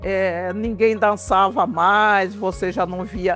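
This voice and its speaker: Over music in the background, a woman talks very slowly at a medium pitch. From Vila Bela da Santíssima Trindade, Mato Grosso, Brazil. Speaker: quilombola community cultural leader, cook, singer. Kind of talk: interview answer.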